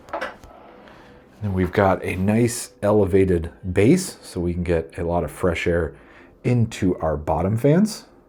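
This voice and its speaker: A man with a very deep, low pitch and a dark, mellow tone speaks at a very slow pace, sounding somewhat breathy. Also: ordinary pitch variation. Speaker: PC hardware reviewer. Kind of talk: product review, ASMR-style walkthrough. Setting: filming handheld with a body gimbal. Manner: soft-spoken.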